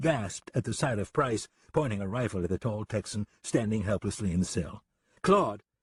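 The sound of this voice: Ordinary pitch variation colors an unforced reading voice, with a quiet background behind it.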